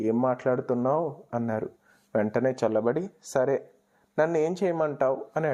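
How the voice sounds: A natural reading voice is heard in this recording.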